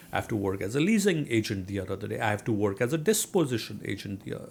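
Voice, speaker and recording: A man with a fairly low pitch speaks in a strong Indian accent with vocal fry. The recording is very clean, with a silent background. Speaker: real estate investor. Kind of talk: interview. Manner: hesitant, many fillers.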